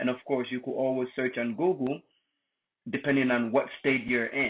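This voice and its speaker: A man at a medium pitch, moderate pace, with a non-native accent. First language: not English. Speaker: tutorial youtuber. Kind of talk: tutorial. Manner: casual.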